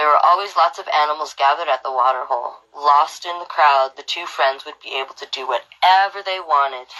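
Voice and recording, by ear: A woman with a low pitch and a bright, sharp tone talks at a fairly quick pace with ordinary pitch variation.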